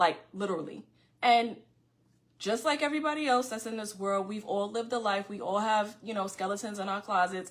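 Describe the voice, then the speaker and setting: With a New York accent, a woman speaks at a fairly quick pace in a medium pitch with ordinary pitch variation. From New York City (Far Rockaway, Queens). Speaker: podcast host. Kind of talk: casual monologue to viewers. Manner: fast; loud.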